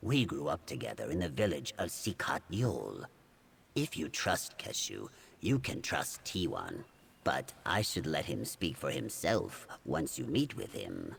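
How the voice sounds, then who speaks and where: A man talks at a fairly slow pace in a put-on character voice. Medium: video game. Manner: formal, polite.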